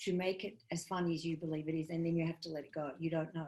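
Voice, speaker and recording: With monotone, flat intonation, a woman speaks at a fairly low pitch. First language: not English. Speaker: comedian and comedy writing teacher. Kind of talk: workshop lecture.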